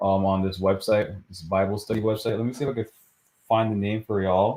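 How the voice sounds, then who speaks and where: A man with an American accent talks at a fairly quick pace in a dark, mellow tone. His pitch is fairly low and his intonation fairly even. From New York, the Bronx. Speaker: livestream co-host. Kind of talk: casual livestream chat. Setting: live video stream. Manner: monotone.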